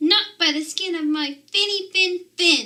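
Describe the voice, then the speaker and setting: A woman's squeaky put-on character voice, extremely high-pitched, at a fairly slow pace. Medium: read story.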